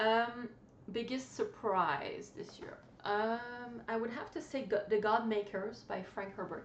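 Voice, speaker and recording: With a non-native accent, a woman speaks fairly slowly at a fairly high pitch with ordinary pitch variation and big swings in loudness, in audible room echo and noticeable background noise. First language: not English. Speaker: book vlogger. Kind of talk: casual chat. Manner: halting.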